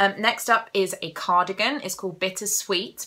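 A woman with a southern English accent speaks in a bright, sharp tone. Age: 20s. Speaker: crafting podcaster. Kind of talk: casual monologue. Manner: animated. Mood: cheerful, enthusiastic. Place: home room. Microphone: phone near.

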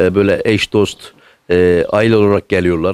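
The room stays quiet behind a man as he speaks. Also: dry sound with no echo. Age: 60s. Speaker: son caring for elderly mother. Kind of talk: interview answer. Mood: warm, touched. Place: home room. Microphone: handheld.

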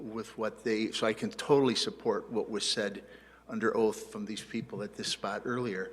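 There is noticeable background noise while a man talks at a moderate pace. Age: 60s. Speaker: attorney. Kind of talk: public hearing testimony. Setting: village board meeting. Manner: halting.

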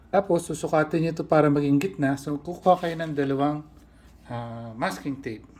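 A man's somewhat breathy, fairly high-pitched voice at a moderate pace. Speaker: balisong knife restorer and channel host. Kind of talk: tutorial.

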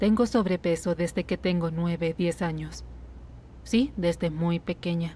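In a very clean recording with a silent background, a woman speaks at a fairly low pitch and a fairly slow pace, somewhat breathy, with a dark, mellow tone and fairly even intonation. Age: 30s. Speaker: patient. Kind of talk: medical consultation, personal testimony (Spanish dub). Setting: doctor's office.

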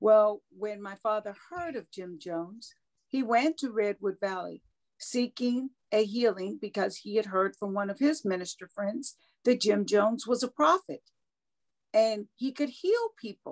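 Over a quiet background, a woman with an unremarkable speaking voice talks at a fairly slow pace and fairly high pitch, with ordinary pitch variation and big swings in loudness. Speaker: cult survivor. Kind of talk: interview. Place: home room. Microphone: video call.

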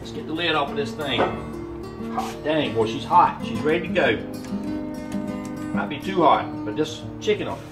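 Clear music in the background behind a man talking at a moderate pace. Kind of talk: casual cooking vlog chat. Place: garage.

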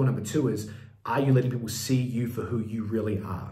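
A man's somewhat breathy, medium-pitched voice at a fairly quick pace, fairly even in intonation, with audible room echo. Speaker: business coach. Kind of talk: tutorial.

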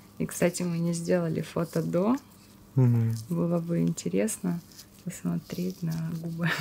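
A soft-spoken woman at a fairly slow pace, with long, frequent pauses and light background noise. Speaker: masseuse and esthetician. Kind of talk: educational face massage tutorial narration. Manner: soft-spoken, slow.

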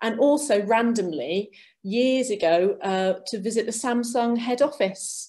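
Her tone is dark and mellow. The woman's pitch varies in an ordinary way. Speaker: arts venue representative. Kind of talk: webinar presentation. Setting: video call. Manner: animated.

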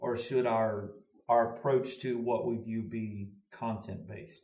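A man with an American accent speaks at a very slow pace. The background is quiet, with audible room echo. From US South (Louisiana, Mississippi). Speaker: pastor. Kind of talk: casual discussion. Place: studio.

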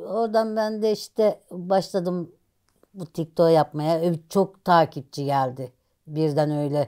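Very slowly, a woman speaks in a fairly low pitch with a dark, mellow tone. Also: ordinary pitch variation, quiet background. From rural Turkey. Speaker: social media personality; interviewee, social media content creator. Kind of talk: casual interview. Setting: at home. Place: home room. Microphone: lapel.

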